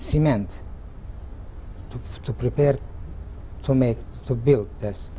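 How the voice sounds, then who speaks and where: A man talks at a very slow pace. Noticeable background noise is present. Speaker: Holocaust survivor. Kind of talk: oral history interview answer. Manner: hesitant, halting.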